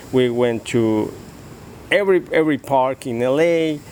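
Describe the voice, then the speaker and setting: A man with a Spanish accent speaks at a medium pitch with ordinary pitch variation over noticeable background noise. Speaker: father in family dispute. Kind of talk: interview. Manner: halting.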